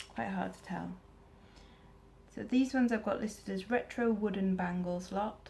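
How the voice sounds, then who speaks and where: A woman with a medium pitch speaks at a moderate pace with ordinary pitch variation and long, frequent pauses. Her voice is somewhat breathy, with a dark, mellow tone. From Wales. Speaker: eBay reseller. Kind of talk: casual talk to camera.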